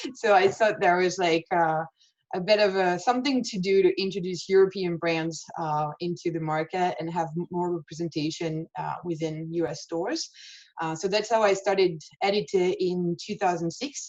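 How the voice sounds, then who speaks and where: Speaking in a strong French accent, a woman uses a fairly low pitch, ordinary pitch variation and a moderate pace. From France. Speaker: fashion showroom owner. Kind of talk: webinar interview. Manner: hesitant, many fillers.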